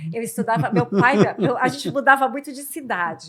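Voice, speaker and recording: Her tone bright and sharp, a woman talks at a fairly quick pace with a fairly high pitch. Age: 50s. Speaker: podcast host. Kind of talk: casual interview chat.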